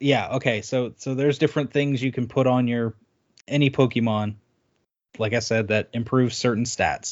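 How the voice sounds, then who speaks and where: A man talks in a normal speaking voice at a moderate pace, with medium pitch and fairly even intonation. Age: 30s.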